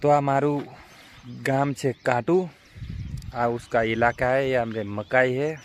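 With noticeable background noise behind him, a man speaks at a medium pitch with fairly even intonation. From Gujarat, Panchmahal district. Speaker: farmer and small vlogger. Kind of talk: casual vlog. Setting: outdoors in a maize field.

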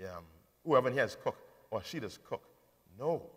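This man talks at a very fast pace. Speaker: preacher. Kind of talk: sermon. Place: hall. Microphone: headset.

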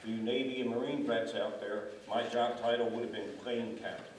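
Some echo from the room is audible as a man talks. Faint noise sits in the background. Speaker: retired Air Force veteran. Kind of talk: panel discussion. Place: hall.

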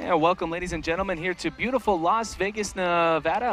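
A man with a high-pitched voice speaks in a raised, projected way. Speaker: basketball play-by-play announcer. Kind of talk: live sports commentary, play-by-play. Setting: arena broadcast in Las Vegas.

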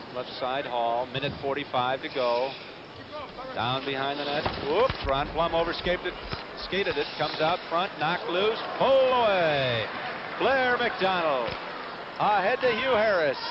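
Against noticeable background noise, a man speaks at a fairly high pitch with very wide pitch swings. His tone is animated, broken by long, frequent pauses. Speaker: TV hockey play-by-play announcer. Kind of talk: live play-by-play hockey commentary. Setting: arena broadcast booth. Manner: rapid, clipped play-by-play bursts tracking the puck; animated, quick exclamations at surprising plays.

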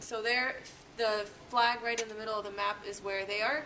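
A normal speaking voice moves at a fairly quick pace. Light background noise is present. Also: woman. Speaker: city government staffer; presenter. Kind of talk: class introduction. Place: classroom. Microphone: camera far.

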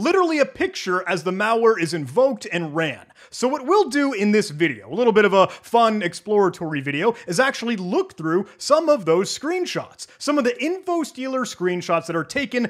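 With hardly any pauses, a man speaks over a quiet background while his pitch swings very widely. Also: fairly quick pace. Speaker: cybersecurity educator. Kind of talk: tutorial commentary. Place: home room. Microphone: studio mic.

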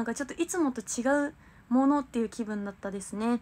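A woman talks very fast in a high pitch, with ordinary pitch variation. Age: 20s. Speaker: idol livestreamer. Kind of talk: livestream chat with viewers. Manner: animated. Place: home room. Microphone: phone near.

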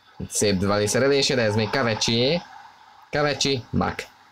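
Noticeable background noise under a man's voice of medium pitch. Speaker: football commentator. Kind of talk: live commentary. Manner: animated.

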